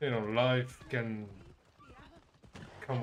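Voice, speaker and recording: There is audible room echo. A man speaks at a very slow pace in monotone, flat intonation. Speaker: gaming streamer. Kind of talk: casual live stream commentary. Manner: halting, many fillers.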